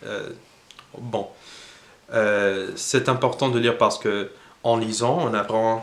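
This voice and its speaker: A man speaks at medium pitch and a very slow pace, in an English accent. His intonation is flat and monotone, with audible room echo. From United States. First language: English (speaking French). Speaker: language learning youtuber. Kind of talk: casual tutorial monologue. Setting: at home. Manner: halting, many hesitations.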